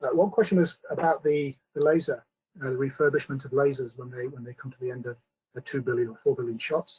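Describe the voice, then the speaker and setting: Somewhat breathy, a man with a British accent speaks at a fairly quick pace in a fairly high pitch with ordinary pitch variation. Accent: British accent, noticeable. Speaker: scientist presenting a company webinar. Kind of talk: webinar presentation with Q&A. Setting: online webinar. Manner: hesitant, many fillers.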